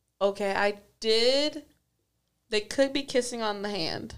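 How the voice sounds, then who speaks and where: Fairly high-pitched woman's voice with ordinary pitch variation, on a very clean recording with a silent background. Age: 20s. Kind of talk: casual chat. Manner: energetic.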